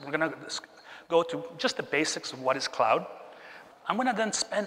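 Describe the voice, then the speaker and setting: With noticeable background noise behind him, a man talks at a moderate pace in a high pitch with lively intonation. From Chile. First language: Spanish. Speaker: keynote speaker, tech executive. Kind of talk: keynote talk. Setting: stage with audience.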